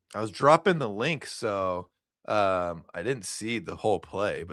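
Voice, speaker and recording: A man's fairly low-pitched voice with a Midwestern US accent. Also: very clean recording, silent background. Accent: US Midwest. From Nebraska, Elkhorn. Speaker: sports streamer host. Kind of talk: live game watch commentary. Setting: live stream. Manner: animated.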